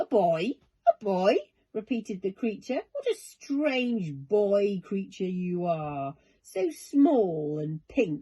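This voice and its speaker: Using a put-on character voice at medium pitch, a woman speaks at a very slow pace. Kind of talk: bedtime story. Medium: read story. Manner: friendly, jolly.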